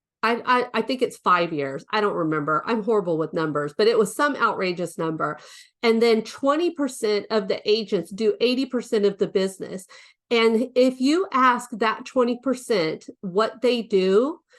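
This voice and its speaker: A plain, everyday voice moves at a moderate pace with lively intonation. The background is quiet. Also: woman, fairly high pitch for a woman. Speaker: real estate coach. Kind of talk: webinar training.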